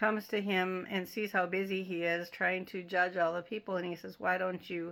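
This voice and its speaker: The very clean recording with a silent background carries a woman's medium-pitched voice in a monotone, flat intonation. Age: 60s. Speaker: Bible teacher. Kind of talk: Bible study talk. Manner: casual, halting with fillers.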